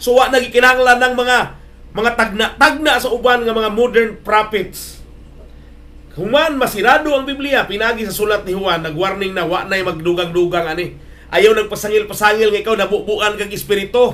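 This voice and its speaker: The delivery is animated and fairly quick, with ordinary pitch variation. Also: man, high pitch for a man. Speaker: preacher. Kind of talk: sermon on radio. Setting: radio broadcast. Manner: animated, exhortative, mixes English phrases. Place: studio.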